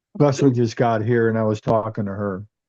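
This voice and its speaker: Soft-spoken mumbling from a man, dark and mellow in tone, with fairly even intonation. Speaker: bible study participant. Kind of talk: group discussion. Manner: mumbling, soft-spoken; halting.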